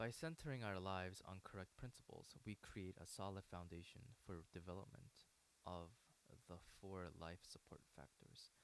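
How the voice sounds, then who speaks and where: A man with a very deep, low pitch and ordinary pitch variation. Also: moderate pace. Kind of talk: book reading. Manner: halting, hesitant reading with stumbles and repeats.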